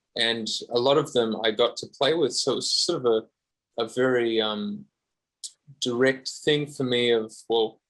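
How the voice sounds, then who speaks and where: This man has an Australian accent and a medium pitch. He talks at a fairly slow pace with fairly even intonation. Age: 30s. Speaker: guitarist. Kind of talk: podcast interview.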